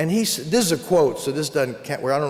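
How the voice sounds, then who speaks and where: With lively intonation, a man talks amid noticeable background noise and audible room echo. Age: 60s. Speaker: psychologist and keynote speaker. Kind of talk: keynote speech. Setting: conference stage with audience.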